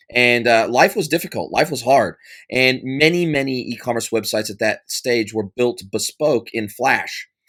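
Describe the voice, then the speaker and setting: Speaking with an American accent, a man keeps a medium pitch, ordinary pitch variation and a moderate pace. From United States. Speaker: ecommerce consultant. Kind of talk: podcast interview. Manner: animated, repetitive phrasing.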